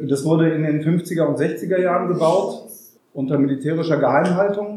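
This man's voice sits fairly high in pitch. The intonation is fairly even. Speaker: anti-nuclear activist, farm collective member. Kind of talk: public talk with live interpretation. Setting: room with live audience. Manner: deliberately paced for interpreter.

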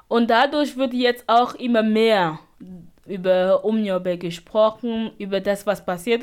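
A woman at a medium pitch and fairly slow pace, with ordinary pitch variation. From Cameroon. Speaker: refugee radio activist. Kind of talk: interview. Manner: halting.

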